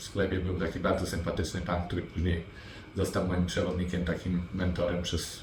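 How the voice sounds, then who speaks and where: Flat and monotone, a man speaks at a fairly quick pace with a very deep, low pitch and very even loudness. Audible room echo and noticeable background noise are present. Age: 40s. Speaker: property investor. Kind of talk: interview. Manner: halting, with fillers.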